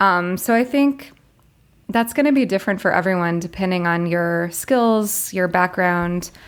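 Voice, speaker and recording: In a very clean recording with a silent background, a woman with an American accent uses an ordinary speaking voice at a medium pitch, moderate pace, very even loudness and ordinary pitch variation. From US South, Florida. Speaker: international school teacher. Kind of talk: interview.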